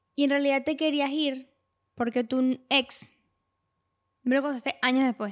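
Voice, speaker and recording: In a very clean recording with a silent background, a woman speaks at a moderate pace in a high, monotone voice with flat intonation. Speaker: podcast co-host. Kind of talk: casual chat.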